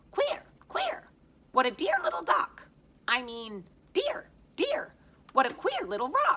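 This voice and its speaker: A put-on character voice pitched extremely high, moving at a fairly slow pace with long, frequent pauses. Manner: funny, playful.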